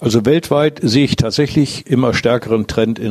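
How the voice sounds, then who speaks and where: The man's pitch varies in an ordinary way while he keeps to a moderate pace. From northwest Germany, around Diepholz (Lower Saxony). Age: 60s. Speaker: business owner. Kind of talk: interview. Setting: at his company premises. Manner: halting, many fillers.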